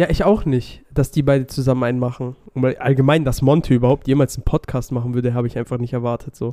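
In a dry, close sound with no echo, a man with medium pitch and a dark, mellow tone speaks very fast with hardly any pauses and fairly even intonation. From Swabia, southwestern Germany. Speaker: podcast co-host. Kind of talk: casual chat.

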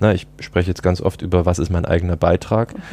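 Talking at a very fast pace, a man has a very deep, low voice with a dark, mellow tone. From Saxony, Dresden. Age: 20s. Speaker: team and organisation developer. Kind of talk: casual interview. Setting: outdoors on a balcony.

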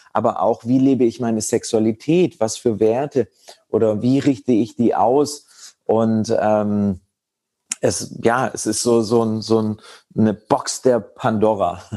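A man's dark, mellow voice sits at a medium pitch, moving at a very slow pace with fairly even intonation. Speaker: meditation and tantra teacher. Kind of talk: casual interview.

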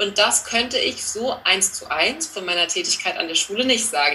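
Noticeable background noise behind a fairly quick pace. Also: woman. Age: 30s. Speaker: teacher and learning coach. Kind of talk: interview.

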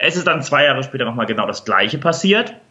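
A man talking at a very fast pace with lively intonation over noticeable background noise. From Hamburg, northern Germany. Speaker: leadership trainer. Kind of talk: interview.

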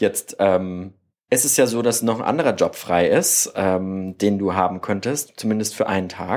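On a very clean recording with a silent background, a man with an ordinary speaking voice talks at a fairly slow pace, fairly low in pitch with ordinary pitch variation. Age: 20s. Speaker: podcast host. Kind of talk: interview. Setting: guest's family living room.

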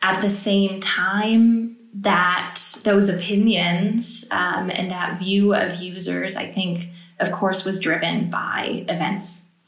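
A woman with an American accent, medium pitch and monotone, flat intonation, at a very slow pace amid audible room echo. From United States. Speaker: political advisor. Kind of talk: podcast interview.

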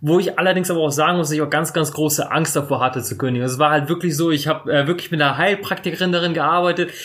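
Very fast speech with hardly any pauses and fairly even intonation. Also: man, fairly high pitch for a man. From northern Germany, Bremerhaven. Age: 30s. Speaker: surf shop owner and YouTuber. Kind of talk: interview. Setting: his shop.

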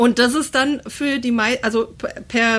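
Against noticeable background noise, a woman talks at a fairly slow pace in a fairly high pitch with ordinary pitch variation. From Hesse, Germany (Assenheim). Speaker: podcast guest. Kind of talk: casual chat.

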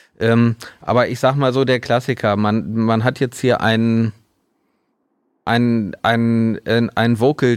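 Speaking very slowly, a man uses a medium pitch. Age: 40s. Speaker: mastering studio owner. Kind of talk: casual interview.

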